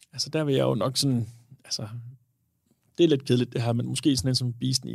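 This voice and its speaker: This man's intonation stays fairly even, and his voice is somewhat breathy. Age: 20s. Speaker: bartender and cocktail bar co-owner. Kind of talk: casual chat.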